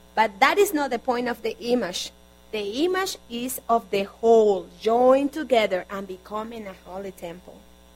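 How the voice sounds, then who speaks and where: A woman with a Spanish accent and a fairly high pitch, with lively intonation and big swings in loudness, over noticeable background noise. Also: moderate pace. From Colombia. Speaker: guest preacher and interpreter. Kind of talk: sermon. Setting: church.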